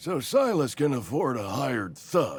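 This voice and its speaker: Putting on a character voice, a man speaks at a moderate pace in a fairly high pitch. His raspy delivery has very wide pitch swings. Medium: video game. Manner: theatrical, grumbling.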